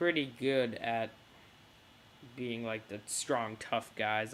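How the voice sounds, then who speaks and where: A man's medium-pitched voice at a very slow pace, with ordinary pitch variation. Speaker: wrestling fan vlogger. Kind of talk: casual prediction vlog. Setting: face cam video. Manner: halting, many fillers.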